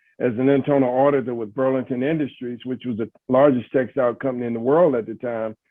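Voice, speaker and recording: An American-accented man speaks at a medium pitch and a fairly quick pace. His intonation is flat and monotone. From US South, Greensboro, North Carolina. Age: 60s. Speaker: sports executive. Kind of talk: interview. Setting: webinar. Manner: halting, many fillers.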